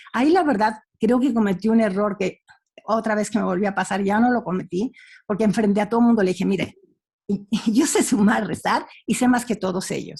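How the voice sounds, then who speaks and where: A woman speaks fairly quickly in a fairly high, somewhat breathy voice. Her pitch varies an ordinary amount. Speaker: panelist. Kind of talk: panel discussion. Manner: halting.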